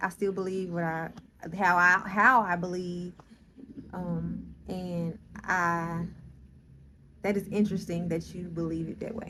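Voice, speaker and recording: A woman with a fairly low pitch talks at a fairly slow pace, her intonation monotone and flat. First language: not English. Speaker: spiritual vlogger. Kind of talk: casual vlog monologue. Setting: in a car. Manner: halting, with fillers and restarts.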